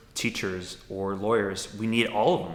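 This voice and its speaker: With an American accent and a fairly low pitch, a man speaks at a moderate pace amid audible room echo. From Milwaukee, Wisconsin, US Midwest. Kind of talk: interview testimony. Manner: thoughtful, with frequent fillers.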